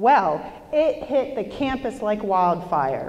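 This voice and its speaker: A woman's loud voice swings very widely in pitch amid audible room echo. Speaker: motivational speaker. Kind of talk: motivational talk. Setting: stage with audience. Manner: animated.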